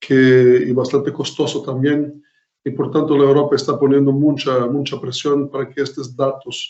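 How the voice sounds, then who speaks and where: A man with a Portuguese accent speaks at a fairly slow pace. His fairly high voice stays monotone, with flat intonation. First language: Portuguese (speaking Spanish). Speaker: professor. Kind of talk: lecture. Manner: halting, many fillers.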